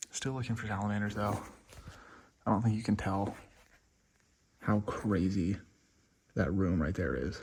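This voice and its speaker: Speaking at a moderate pace with long, frequent pauses, a man uses a somewhat breathy, fairly low-pitched voice with ordinary pitch variation. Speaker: wildlife vlogger, herper. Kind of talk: outdoor vlog narration. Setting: outdoors, inside a cave. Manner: whispering in the cave; casual, with fillers.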